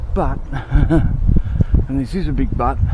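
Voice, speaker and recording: Pitch varies in an ordinary way, and noticeable background noise runs underneath. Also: man. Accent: Australian. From Australia. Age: 50s. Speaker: vlogger. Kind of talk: casual vlog monologue. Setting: outdoors. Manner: hurried.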